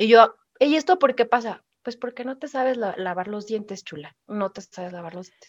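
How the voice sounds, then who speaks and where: In an ordinary speaking voice, a woman talks at a moderate pace and a fairly high pitch, with lively intonation and big swings in loudness. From Mexico, Pachuca, Hidalgo. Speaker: podcast co-host. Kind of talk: casual chat.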